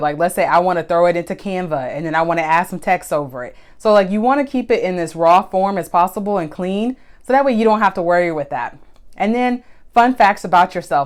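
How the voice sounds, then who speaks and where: Very clean, with a silent background, this recording captures a woman talking at a very fast pace. Her medium-pitched voice has lively intonation. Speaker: photographer and social media tips host. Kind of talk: live stream tutorial. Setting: Instagram live stream. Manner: loud; casual, conversational.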